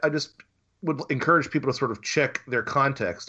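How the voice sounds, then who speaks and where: Here a man talks with an American accent. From US South. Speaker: author and researcher. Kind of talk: interview. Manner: halting.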